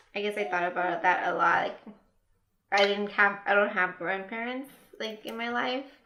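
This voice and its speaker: A woman's bright, sharp tone at medium pitch, with ordinary pitch variation, a moderate pace and audible room echo. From US, raised from age three; born in Mexico. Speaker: podcast guest. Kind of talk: casual chat. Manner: halting.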